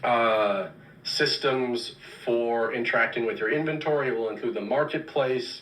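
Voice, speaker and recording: A man's medium-pitched voice at a very slow pace, with audible room echo. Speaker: game development director. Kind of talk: livestream Q&A. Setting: live stream. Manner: animated.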